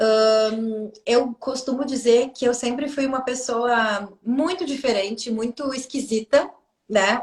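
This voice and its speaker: A woman's high voice in a Brazilian accent, with ordinary pitch variation at a very slow pace. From southern Brazil. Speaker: Akashic records therapist. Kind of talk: casual chat.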